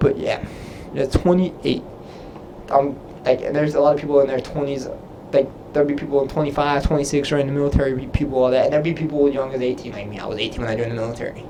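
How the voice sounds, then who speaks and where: Over noticeable background noise, a man talks at a very fast pace with a fairly high pitch and fairly even intonation. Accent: American. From Texas. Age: 20s. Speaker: Navy sailor and YouTuber. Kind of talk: live stream Q&A. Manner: casual, halting.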